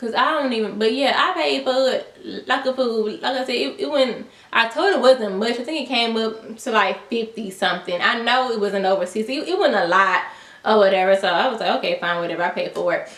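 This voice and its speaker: Against noticeable background noise, a woman speaks with a fairly high pitch. Her delivery is fairly quick, with lively intonation. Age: 20s. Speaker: YouTuber. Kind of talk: storytime vlog. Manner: casual, slangy.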